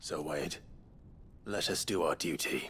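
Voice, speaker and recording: Doing a put-on character voice, a man speaks in a raspy, calm tone at a moderate pace over clear background noise. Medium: video game. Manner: calm, measured.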